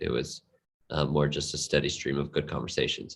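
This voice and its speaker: This is a man speaking. His voice has vocal fry. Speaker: crypto gaming advisor. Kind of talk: interview. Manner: halting, many fillers.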